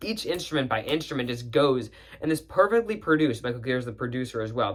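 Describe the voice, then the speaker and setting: The delivery is very fast and animated in tone. Pitch swings very widely throughout. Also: man. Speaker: music reviewer YouTuber. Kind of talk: casual album review monologue.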